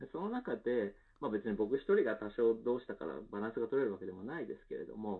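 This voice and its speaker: Lively intonation and a very fast pace from a man with a medium-pitched voice. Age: 30s. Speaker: company co-founder. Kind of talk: interview. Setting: video call.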